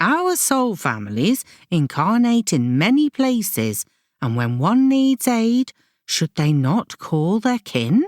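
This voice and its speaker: A woman's put-on character voice at medium pitch, with very wide pitch swings, very even loudness and a fairly slow pace, in a very clean recording with a silent background and a dry, close sound with no echo. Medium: read story. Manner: calm, measured.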